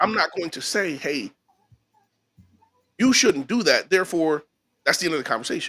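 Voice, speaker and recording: A man projects his voice at a high pitch with a bright, sharp tone and lively intonation. He leaves long, frequent pauses. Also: moderate pace. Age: 40s. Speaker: podcast host. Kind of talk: casual chat.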